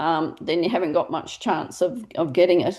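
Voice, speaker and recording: A woman with an Australian accent talks at a fairly low pitch. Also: quiet background. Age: 60s. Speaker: directory founder and interviewer. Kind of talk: casual interview chat.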